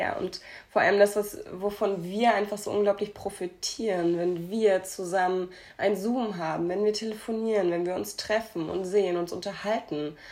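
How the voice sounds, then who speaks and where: A woman talks at a moderate pace with medium pitch and fairly even intonation. It is a normal speaking voice. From Hamburg, Germany. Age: 20s. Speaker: podcast co-host. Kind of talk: casual chat.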